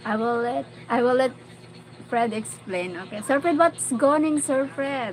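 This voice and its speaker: A woman's high-pitched, animated voice with a Filipino accent, lively intonation and a fairly slow pace, over noticeable background noise. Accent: Filipino (Bicolano) English. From Philippines, Bicol region. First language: Bicolano or Tagalog. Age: 40s. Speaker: vlogger. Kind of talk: livestream chat with viewers.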